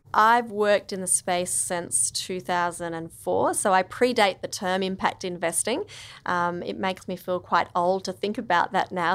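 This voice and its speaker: Her pitch sits in the medium range. This woman talks with an Australian accent. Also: very clean recording, silent background. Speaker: impact investor. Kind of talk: interview. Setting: studio.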